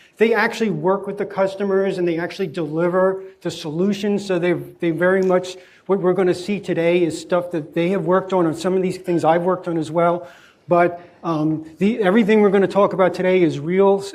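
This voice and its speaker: The speech comes at a fairly quick pace in a monotone, flat intonation. Audible room echo surrounds it. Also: man, high pitch for a man. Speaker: guest lecturer, tech executive. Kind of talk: lecture. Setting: lecture hall with students. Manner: fast.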